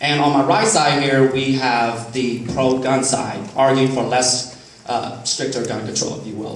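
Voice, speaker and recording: Noticeable background noise and audible room echo accompany a man of medium pitch. He speaks at a fairly slow pace with fairly even intonation. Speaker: college professor, debate moderator. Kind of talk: moderating a live debate. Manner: loud. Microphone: no microphone, speaking unamplified.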